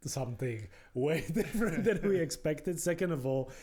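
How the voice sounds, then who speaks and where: Speaking with a Polish accent, a man has a dark, mellow tone. His intonation is lively. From Poland. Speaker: podcast host. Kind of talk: podcast interview.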